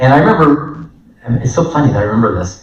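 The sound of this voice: Amid audible room echo, a man speaks fast with lively intonation at a medium pitch.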